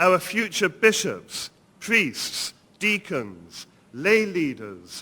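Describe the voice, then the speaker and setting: With an English accent, a man talks at a high pitch, his voice making very wide pitch swings. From England. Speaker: priest and seminary dean. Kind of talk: lecture. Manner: formal.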